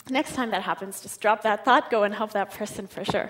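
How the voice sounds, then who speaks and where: With ordinary pitch variation, a woman speaks at a fairly quick pace. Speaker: psychology researcher and conference speaker. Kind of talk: conference talk. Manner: fast.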